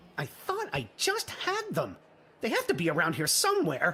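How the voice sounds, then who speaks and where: Using a put-on character voice, a man talks at a moderate pace with very even loudness. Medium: video game. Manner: earnest, bumbling.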